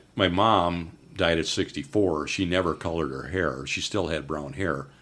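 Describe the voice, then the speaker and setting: This man speaks with vocal fry and ordinary pitch variation. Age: 70s. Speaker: author. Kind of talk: casual interview.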